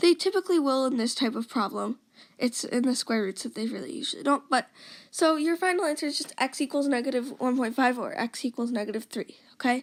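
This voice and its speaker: A woman speaks very fast in a high voice, recorded dry and close with no echo on a very clean track with a silent background. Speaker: math tutor. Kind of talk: tutorial. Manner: casual, with fillers and self-corrections.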